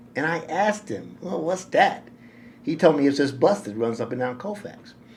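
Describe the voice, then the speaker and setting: A man with an American accent has an ordinary speaking voice pitched fairly high. His intonation is lively and his pace moderate. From New York City. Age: 60s. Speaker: nonprofit director. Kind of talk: interview storytelling. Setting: podcast interview.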